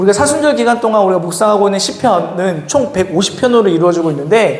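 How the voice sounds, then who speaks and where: Over noticeable background noise and audible room echo, a man talks in an animated tone at a high pitch for a man. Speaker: youth pastor. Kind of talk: sermon; casual announcements to youth. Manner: fast.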